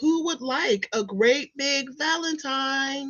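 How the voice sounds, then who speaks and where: Very slow, high-pitched, female-sounding put-on character voice. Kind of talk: bedtime story. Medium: read story.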